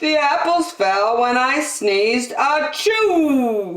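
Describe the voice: A woman's put-on character voice, high-pitched and fairly bright, with big pitch swings at a very slow pace amid strong room echo.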